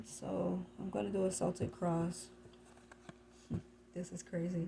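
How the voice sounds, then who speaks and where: Soft-spoken, a woman talks at a fairly slow pace. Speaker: tarot reader. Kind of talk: tarot reading. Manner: halting.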